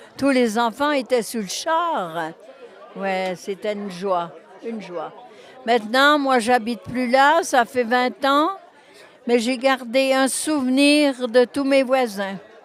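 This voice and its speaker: With crowd noise in the background, a woman speaks very slowly in a high voice with lively intonation and long, frequent pauses. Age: 80s+. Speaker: former resident, volunteer. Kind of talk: interview, reminiscence.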